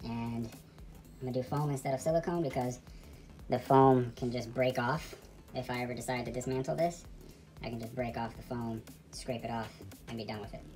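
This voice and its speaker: Backed by clear music, a woman with a very deep, low pitch speaks at a fairly quick pace with ordinary pitch variation. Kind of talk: casual vlog chat. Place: home room. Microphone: phone near.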